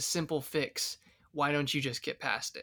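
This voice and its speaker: A man with a rather high voice is heard on a very clean recording against a silent background. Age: 20s. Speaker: Bible teacher. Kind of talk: casual chat.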